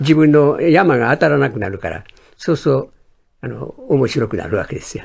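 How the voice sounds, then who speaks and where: With vocal fry and very wide pitch swings, a man speaks at a moderate pace. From Kobe, Hyogo (Kansai); Hyogo, Japan. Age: 90s. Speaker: sports journalist. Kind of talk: radio interview. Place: studio.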